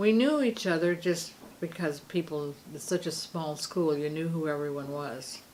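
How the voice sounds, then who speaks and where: Speaking in a Pacific Northwest accent, a woman uses a fairly low pitch with ordinary variation at a moderate pace. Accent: American, Pacific Northwest. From Seaside, Oregon. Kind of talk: interview answer. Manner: relaxed storytelling.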